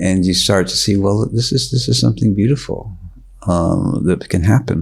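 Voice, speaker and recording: A man's fairly low voice at a moderate pace, with lively intonation and very even loudness, over noticeable background noise. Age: 70s. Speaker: yoga teacher. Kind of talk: interview conversation. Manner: halting.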